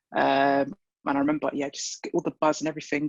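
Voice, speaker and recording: A man with a London accent speaks at a fairly quick pace. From London (Wembley). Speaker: football fan. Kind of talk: interview. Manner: halting.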